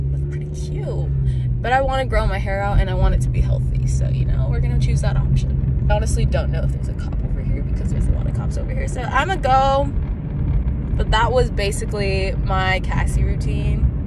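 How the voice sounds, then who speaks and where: Loud background noise fills a dry recording with no echo. A woman talks over it at a fairly quick pace. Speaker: vlogger. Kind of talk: casual vlog chat. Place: car. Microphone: phone near.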